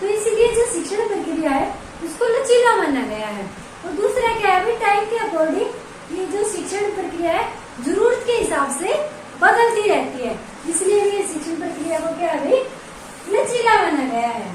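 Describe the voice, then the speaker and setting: A woman talks at a moderate pace with an extremely high pitch and lively intonation. Noticeable background noise and audible room echo fill the recording. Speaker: online exam-prep teacher. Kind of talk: lecture. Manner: conversational, repetitive explaining.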